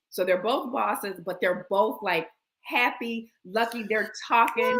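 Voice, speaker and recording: This woman has a normal speaking voice with fairly high pitch. She talks at a moderate pace. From New York. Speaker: personality speaker and minister. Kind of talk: interview conversation.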